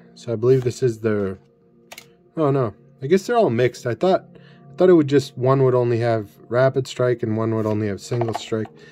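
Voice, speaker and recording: Faint music sits in the background as a man talks at a moderate pace with ordinary pitch variation and big swings in loudness. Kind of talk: casual commentary. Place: home room.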